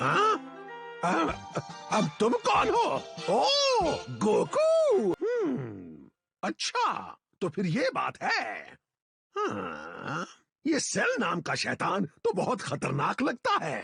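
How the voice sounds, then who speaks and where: A man performs a cartoonish character voice at a very slow pace. Faint music plays in the background. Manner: hums and muses, absent-minded.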